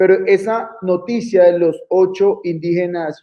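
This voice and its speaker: With a Colombian accent, a man with a high pitch speaks in fairly even intonation. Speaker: lawyer. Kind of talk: interview. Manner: hesitant, many fillers.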